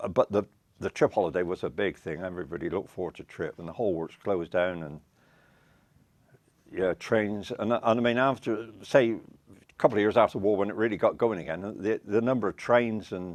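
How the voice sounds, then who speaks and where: With ordinary pitch variation, the talking goes along at a fairly quick pace. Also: man, fairly low pitch for a man. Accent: Wiltshire. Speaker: retired railway worker. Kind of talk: oral history interview. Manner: halting.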